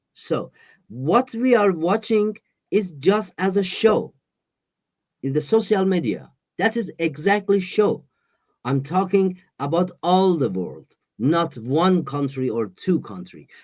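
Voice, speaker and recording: A man with a Persian accent, very slow pace, lively intonation, and long, frequent pauses. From Iran. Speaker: exiled musician. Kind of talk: interview. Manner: halting.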